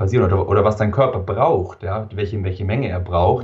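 This man's voice is somewhat breathy and fairly low in pitch, moving at a fairly quick pace. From southern Germany, Allgäu (Wangen). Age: 20s. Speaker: entrepreneur, biohacker. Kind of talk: interview.

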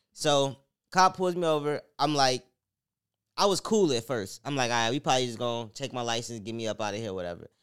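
A man with an American accent and an unremarkable speaking voice, medium pitch, lively intonation and a fairly quick pace, on a very clean recording with a silent background. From Chicago. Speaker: podcast co-host. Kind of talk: casual chat.

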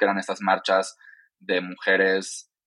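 Recorded with a dry, close sound and no echo, a man speaks in a fairly low pitch with a bright, sharp tone. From Mexico, Yucatán (Mérida). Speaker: diversity and inclusion consultant and activist. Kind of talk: interview.

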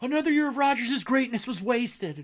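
A man projects a raised voice with a bright, sharp tone. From Upper Peninsula of Michigan, Marquette. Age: 40s. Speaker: sports podcast host. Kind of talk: sports podcast monologue. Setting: home studio. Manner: animated.

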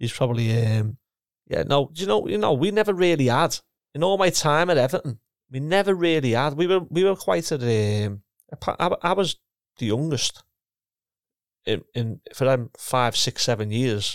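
Very wide pitch swings in a Liverpool accent at a moderate pace with long, frequent pauses, in a dry, close sound with no echo and a very clean recording with a silent background. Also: man, fairly high pitch for a man. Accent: Scouse (Liverpool). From Liverpool, England. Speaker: retired professional footballer and coach. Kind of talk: casual interview.

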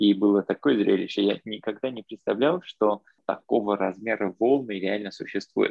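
This man has a fairly low voice with ordinary pitch variation. He talks at a moderate pace. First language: not Russian (speaking Russian). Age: young. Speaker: podcast guest, traveler. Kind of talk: casual chat. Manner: mixes English words into Russian.

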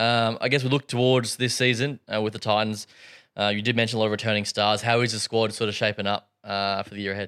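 A man with an Australian accent talks very fast at a fairly low pitch. His intonation is flat and monotone, and the sound is dry and close with no echo. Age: 20s. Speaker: podcast host. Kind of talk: interview.

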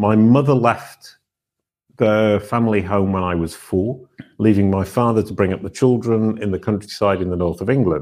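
Speaking with a British accent, a man with a fairly low pitch keeps a moderate pace and ordinary pitch variation. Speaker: former musician turned online brand expert. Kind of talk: interview conversation. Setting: video call.

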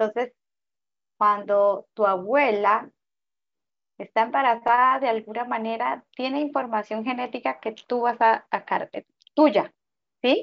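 A woman talks at a fairly slow pace, with long, frequent pauses. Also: fairly high pitch for a woman, ordinary pitch variation. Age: 40s. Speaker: spiritual guide. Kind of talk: interview.

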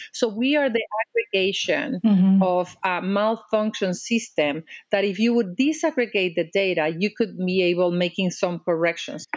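A woman in a Mexican accent at medium pitch and moderate pace, with lively intonation and very even loudness. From Mexico. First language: Spanish. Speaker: diplomat and advocate. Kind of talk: interview. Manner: animated.

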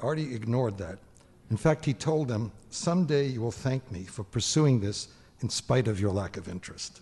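A man speaks with a dark, mellow tone, somewhat breathy, and lively intonation. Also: medium pitch for a man, moderate pace. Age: old. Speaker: retired scientist introducing speaker. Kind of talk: introduction speech.

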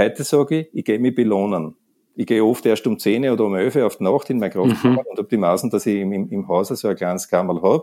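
A man with a Viennese accent, very fast pace, dark, mellow tone and ordinary pitch variation. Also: medium pitch for a man. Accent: Viennese Austrian German. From Austria, Vienna. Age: 60s. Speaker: sports centre manager and masters hammer thrower. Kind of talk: interview. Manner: halting, repeats words.

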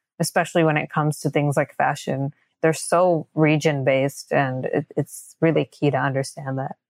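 A woman talks at a very deep, low pitch. Her intonation is monotone and flat. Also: moderate pace, dry, close sound with no echo. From US and India. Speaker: sustainable fashion brand founder. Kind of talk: interview.

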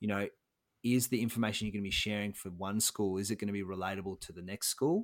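A man with an Australian accent talks very fast at a fairly low pitch, his intonation fairly even, in a very clean recording with a silent background and a dry, close sound with no echo. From Australia, Melbourne. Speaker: social enterprise co-founder and career coach. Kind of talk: interview. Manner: halting, many fillers and restarts.

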